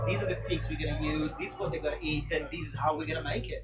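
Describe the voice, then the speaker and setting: A man speaks in a room with audible echo while music plays in the background. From Italy, Milan. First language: Italian. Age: 40s. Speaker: food producer representative. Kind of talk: live interview. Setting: outdoors at street festival. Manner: animated.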